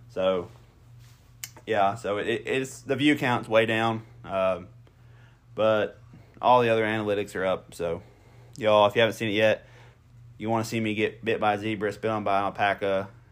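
A man with an Appalachian accent talks at a moderate pace, his fairly low voice holding a fairly even intonation. He leaves long, frequent pauses. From Southern Ohio, Appalachia. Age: 20s. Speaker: podcast host, hunter and plant operator. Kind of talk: casual chat.

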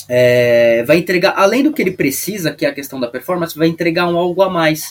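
A man speaks in a plain, everyday voice, fairly high in pitch. He keeps a moderate pace with lively intonation. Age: 20s. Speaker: product specialist. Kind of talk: podcast interview.

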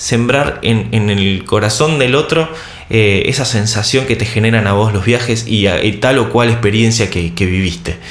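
Over noticeable background noise and audible room echo, a man speaks at a very even loudness. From Argentina. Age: 30s. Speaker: travel podcaster. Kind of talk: solo podcast monologue. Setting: video recording. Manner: halting with fillers and repeated words.

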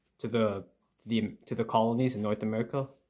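The recording is very clean, the background silent. A man of medium pitch speaks at a moderate pace with fairly even intonation. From Canada. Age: 20s. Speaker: book reviewer. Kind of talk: solo monologue book review. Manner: halting.

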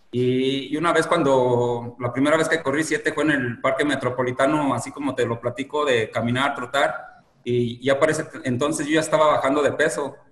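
A man speaks at a moderate pace with hardly any pauses, his pitch fairly high. His intonation stays fairly even over noticeable background noise. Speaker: marathon runner, former addict. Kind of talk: interview, personal testimony. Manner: hesitant, many fillers.

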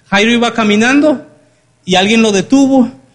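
A man speaks at an extremely high pitch. His tone is animated and his pace moderate. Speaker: preacher. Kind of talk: sermon. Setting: church. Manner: animated, interactive, audience-engaging; colloquial, humorous.

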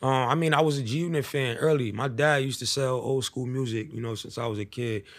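A man with a New York accent talks at a very fast clip. His pitch sits in the middle for a man, and his intonation stays fairly even. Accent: New York City. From US Northeast, New York City (East Harlem). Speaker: rapper. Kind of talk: casual interview. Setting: studio.

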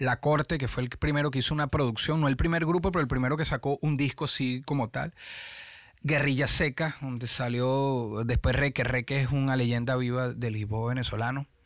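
A man with a normal speaking voice talks at a medium pitch and a moderate pace. The sound is dry and close with no echo, and his intonation is fairly even. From Venezuela, Caracas. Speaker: rapper. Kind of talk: interview.

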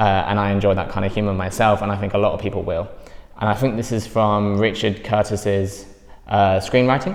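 Noticeable background noise behind a man speaking in a fairly low register. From East Anglia, England. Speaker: film critic. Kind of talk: casual film review discussion.

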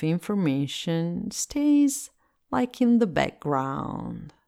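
With an Italian accent, a woman speaks at a very slow pace, her pitch swinging very widely. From Italy. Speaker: meditation teacher. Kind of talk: guided meditation.

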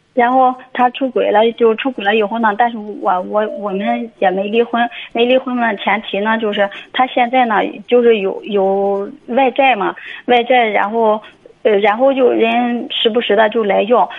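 A woman speaks in a plain, everyday voice with a fairly high pitch. Her pace is fairly slow and her intonation fairly even. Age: 40s. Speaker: beautician, caller. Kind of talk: phone call-in advice. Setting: phone call.

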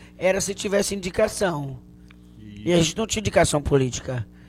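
With a Bahian accent, a man speaks in a fairly high pitch. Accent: Bahian Brazilian Portuguese. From Bahia, Canavieiras. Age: 40s. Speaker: comedian. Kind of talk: casual chat.

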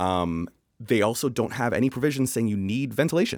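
Lively intonation marks a man with a Canadian accent talking at a very fast pace in a very clean recording with a silent background. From Canada. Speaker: building designer. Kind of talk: casual chat.

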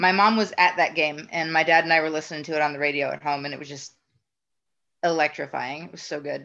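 A woman with an American accent talks at a very fast pace in a very deep, low pitch with a bright, sharp tone. Her intonation stays fairly even while her loudness swings widely. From Northeast Ohio, US. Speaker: baseball fan. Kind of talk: casual interview.

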